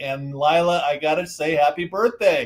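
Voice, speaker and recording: With an American accent, a man speaks at a fairly slow pace and a fairly high pitch. He has an ordinary speaking voice. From Southern California. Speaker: author and disaster expert. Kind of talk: interview. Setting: video call from a hotel room.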